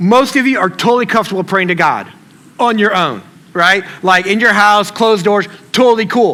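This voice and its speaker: A man speaks in a raised, projected voice at a high pitch. His pace is moderate, with noticeable background noise behind him. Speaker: pastor. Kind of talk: sermon. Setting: church stage with audience. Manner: casual, conversational; mumbles words together.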